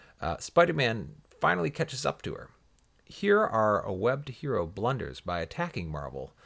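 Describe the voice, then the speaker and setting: With vocal fry and a fairly low pitch, a man speaks at a moderate pace while his voice makes very wide pitch swings. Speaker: comic book podcast co-host. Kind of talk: casual chat.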